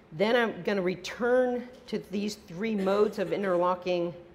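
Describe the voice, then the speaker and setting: A woman speaks at a fairly slow pace with fairly even intonation, and audible room echo surrounds her voice. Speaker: professor. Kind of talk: lecture.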